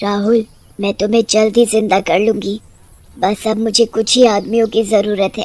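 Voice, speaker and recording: Someone performs a put-on character voice, cackling. The pace is moderate. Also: woman, fairly high pitch for a woman. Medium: cartoon. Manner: taunting, with cackling laughter.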